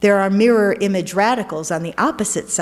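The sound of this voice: Unforced reading aloud.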